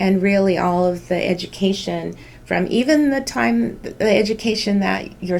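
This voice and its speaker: At a moderate pace, a woman with a Californian accent speaks with very wide pitch swings. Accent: Californian American English. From Southern California (Santa Ana). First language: Spanish. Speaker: healthcare business executive. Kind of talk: school news show interview. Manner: measured, with frequent filler words.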